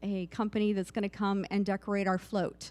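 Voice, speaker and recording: A woman's voice at medium pitch. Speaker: volunteer coordinator for a pride organization. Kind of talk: town hall presentation. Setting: community meeting in a church, live-streamed. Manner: soft-spoken.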